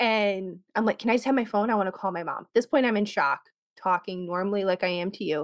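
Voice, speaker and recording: The speech comes at a very fast pace. The sound is dry and close, with no echo. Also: woman, medium pitch for a woman, ordinary pitch variation, quiet background. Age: 30s. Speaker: podcast host and guest. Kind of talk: casual chat.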